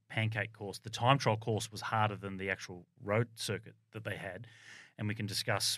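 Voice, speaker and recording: A fairly low-pitched man with an Australian accent, fairly quick pace and fairly even intonation, in a very clean recording with a silent background. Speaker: former Olympic cyclist and cycling commentator. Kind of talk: casual chat. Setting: studio.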